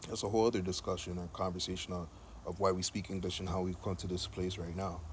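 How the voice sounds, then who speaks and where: Very fast and monotone, a man speaks in a very deep, low voice that is somewhat breathy. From Jamaica. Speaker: video blogger. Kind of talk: monologue. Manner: casual.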